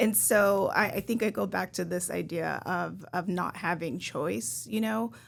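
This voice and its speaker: Soft-spoken and fairly slow, a woman talks in a very clean recording with a silent background. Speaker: health care manager. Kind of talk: podcast discussion.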